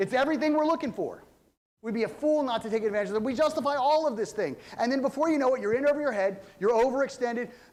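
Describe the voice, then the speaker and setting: A man speaks at a very fast pace in an animated tone. His pitch is extremely high. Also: ordinary pitch variation. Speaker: pastor. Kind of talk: sermon. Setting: church. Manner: loud.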